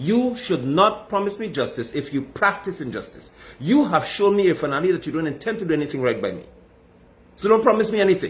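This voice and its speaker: A man with a Guyanese accent talks at a very fast pace, his tone animated and his intonation lively. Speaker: political commentator. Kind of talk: political commentary monologue.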